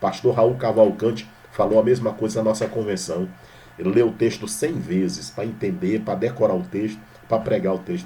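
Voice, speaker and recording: Lively intonation comes through in a Maranhão accent, with audible room echo around the voice. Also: man, medium pitch for a man. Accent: Maranhão accent, drawling Portuguese. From Brazil, Maranhão. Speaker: pastor. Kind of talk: sermon. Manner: informal, conversational.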